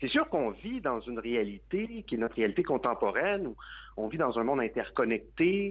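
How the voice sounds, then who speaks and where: A man speaks at a moderate pace and a medium pitch, his voice moving in very wide pitch swings. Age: 30s. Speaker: advocacy group president. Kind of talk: radio interview.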